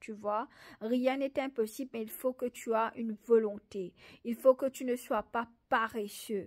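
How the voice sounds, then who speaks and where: At a very slow pace, a woman talks at a fairly high pitch with fairly even intonation over a quiet background. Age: 30s. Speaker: faith testimony vlogger. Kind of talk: motivational religious talk. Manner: halting, with repetitions and hesitations. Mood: earnest, encouraging. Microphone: phone near.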